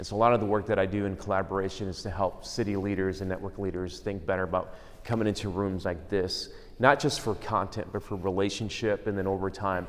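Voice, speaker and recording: Audible echo fills the room. The talking is very fast. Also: man. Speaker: conference speaker on church planting. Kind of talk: conference talk. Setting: room with audience, microphone. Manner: casual, many fillers.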